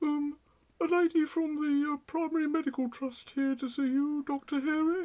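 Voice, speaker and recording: A cartoonish character voice pitched high. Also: moderate pace. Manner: hesitant, halting.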